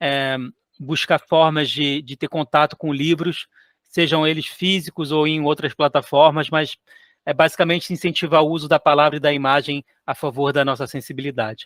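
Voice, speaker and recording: In a Rio de Janeiro accent, a man speaks with monotone, flat intonation, the sound dry and close with no echo. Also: fairly high pitch for a man, moderate pace. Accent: carioca (Rio de Janeiro). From Chad and Cape Verde childhood, later Brazil. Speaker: author and illustrator. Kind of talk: interview. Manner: halting, many repetitions and fillers.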